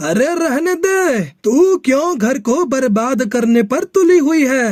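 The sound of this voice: Using a cartoonish character voice at an extremely high pitch, a man speaks at a fairly slow pace.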